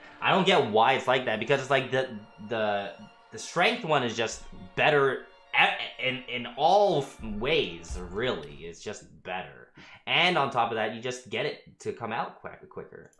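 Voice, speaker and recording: With faint background music and audible room echo, a man speaks at a fairly slow pace, his loudness swinging widely. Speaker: game streamer. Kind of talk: casual gameplay commentary. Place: home room.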